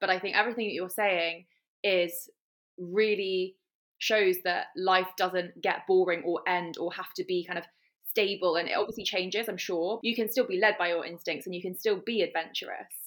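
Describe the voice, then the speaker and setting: A woman speaks in a plain, everyday voice at medium pitch and a moderate pace, her intonation fairly even. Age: 30s. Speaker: podcast host. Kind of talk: casual interview chat.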